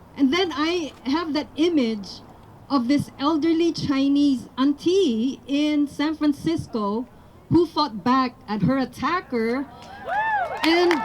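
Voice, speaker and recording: In a Filipino accent, a woman with a high pitch speaks at a very slow pace. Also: ordinary pitch variation. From Philippines. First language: Tagalog. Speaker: rally speaker. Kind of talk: public speech.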